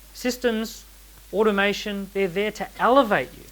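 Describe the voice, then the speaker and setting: A man's high-pitched voice, animated in tone, with ordinary pitch variation. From Australia. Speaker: entrepreneur and author giving a talk. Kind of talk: seminar talk to a live audience. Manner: animated, uses rhetorical questions.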